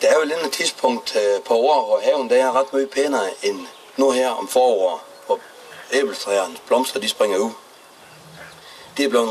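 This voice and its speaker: At a moderate pace, a man speaks while noticeable background noise carries on behind him. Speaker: mayor. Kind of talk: public speech.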